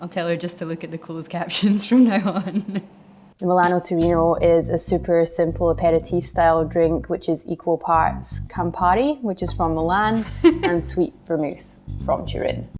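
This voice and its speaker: A woman with a Scottish accent, fairly low in pitch with fairly even intonation, music in the background. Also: moderate pace. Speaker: bartender. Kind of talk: cocktail tutorial talk to camera.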